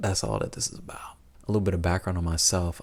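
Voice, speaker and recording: A soft-spoken man's very deep, low voice, somewhat breathy, with fairly even intonation, in a very clean recording over a silent background. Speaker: vlogger. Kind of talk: personal reflective monologue. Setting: at home late at night. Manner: soft-spoken, keeping voice down.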